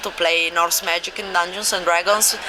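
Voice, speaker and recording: A woman with a non-native accent, medium pitch and monotone, flat intonation at a moderate pace, amid noticeable background noise. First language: not English. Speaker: game publisher. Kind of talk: convention interview. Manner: halting.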